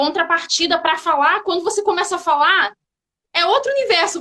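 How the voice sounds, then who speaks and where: A woman with a Rio de Janeiro accent talks very fast in a raised, projected voice at an extremely high pitch. Her tone is bright and sharp, her intonation lively. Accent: Carioca Brazilian Portuguese. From Brazil, Rio de Janeiro. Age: 30s. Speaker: physical education teacher, hiker. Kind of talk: casual interview chat.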